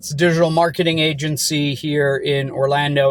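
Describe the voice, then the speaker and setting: A somewhat breathy man's voice, fairly high in pitch, at a moderate pace. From Germany. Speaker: business owner. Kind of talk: casual vlog monologue. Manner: halting, with repetitions.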